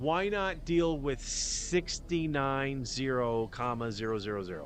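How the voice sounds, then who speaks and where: In a room with audible echo, a man with a fairly high pitch talks with lively intonation. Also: fairly slow pace. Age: 50s. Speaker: podcast host. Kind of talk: casual livestream monologue. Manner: rambling, halting with many restarts.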